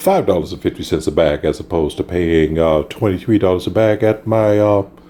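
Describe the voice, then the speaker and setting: Over noticeable background noise, a man with a very deep, low voice speaks at a fairly quick pace with ordinary pitch variation. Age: 60s. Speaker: car hobbyist vlogger. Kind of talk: casual video update. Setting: indoors at home.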